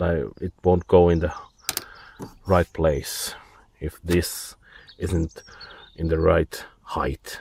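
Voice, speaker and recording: In a Finnish accent, a man speaks very slowly with long, frequent pauses, a very deep, low pitch and monotone, flat intonation, the sound dry and close with no echo. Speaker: DIY car repair hobbyist. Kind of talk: tutorial. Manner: halting.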